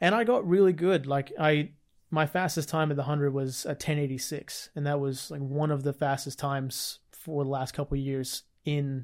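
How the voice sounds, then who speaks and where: In a very clean recording with a silent background, a man with a fairly high pitch talks at a moderate pace with fairly even intonation. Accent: Australian. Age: 20s. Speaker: fitness podcast co-host. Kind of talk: casual chat.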